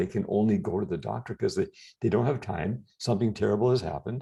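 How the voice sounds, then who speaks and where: A man talks at a very fast pace. His tone is dark and mellow, with vocal fry. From Canada. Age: 60s. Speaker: health and anti-aging guest. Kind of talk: interview conversation.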